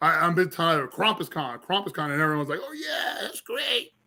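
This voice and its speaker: Very fast male speech with a Philadelphia accent, a bright, sharp tone, and ordinary pitch variation. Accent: Philadelphia twang. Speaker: filmmaker, artist and convention organizer. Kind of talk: casual interview. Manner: stammering, repeats words.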